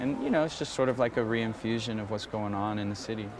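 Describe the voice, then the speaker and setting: Very fast speech from a man, dry with no echo, over noticeable background noise. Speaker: mural project organizer. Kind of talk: interview. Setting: outdoors. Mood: relaxed, hopeful. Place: tunnel cave. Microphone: lapel.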